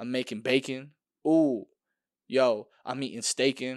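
Against a quiet background, a man talks in an animated tone at a medium pitch. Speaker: podcast host. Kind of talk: casual solo rant. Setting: home recording. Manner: loud, animated.

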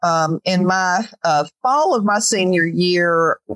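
A woman with an American accent speaks at medium pitch with ordinary pitch variation. Hers is a plain, everyday voice. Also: dry, close sound with no echo. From Georgia, US South. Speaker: author and retired minister. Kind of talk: interview conversation.

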